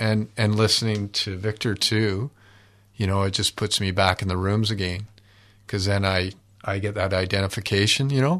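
Against a quiet background, a man with a Canadian accent speaks at a moderate pace in a fairly low pitch with fairly even intonation. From Canada (Ontario, British Columbia). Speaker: support group member. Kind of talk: personal testimony. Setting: studio. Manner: halting, many fillers.

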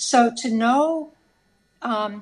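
Behind a woman's voice, the background is quiet. She sounds somewhat breathy and speaks with an American accent. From United States. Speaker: socialist activist. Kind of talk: radio interview. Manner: halting, many fillers.

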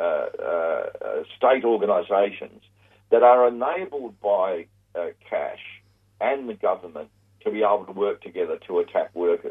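Long, frequent pauses break up a man's moderate-paced speech in an Australian accent. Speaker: labour relations commentator. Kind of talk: phone interview. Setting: phone call.

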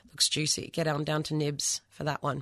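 Someone talks at a very fast pace with an Australian accent against a quiet background. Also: woman. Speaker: community radio host. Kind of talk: radio interview; radio announcements. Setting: radio studio.

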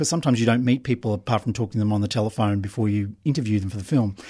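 A man in an Australian accent speaks at a medium pitch. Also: quiet background. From Brisbane, Australia. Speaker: documentary filmmaker. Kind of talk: interview. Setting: radio studio.

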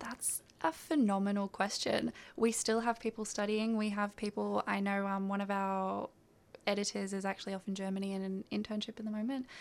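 Monotone, flat intonation runs through a woman's medium-pitched voice. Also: fairly quick pace. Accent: Australian. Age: 20s. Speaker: writer and editor. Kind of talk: interview. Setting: radio studio.

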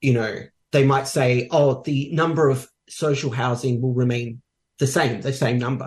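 A man talks at a moderate pace in a somewhat breathy voice. His intonation stays monotone and flat. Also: medium pitch for a man. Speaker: housing union delegate. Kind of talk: interview.

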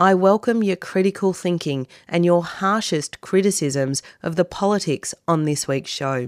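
In a plain, everyday voice, a woman speaks at a moderate pace and a fairly low pitch, with ordinary pitch variation. The recording is very clean, with a silent background and a dry, close sound with no echo. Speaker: radio host. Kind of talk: radio interview with scripted intro. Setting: studio.

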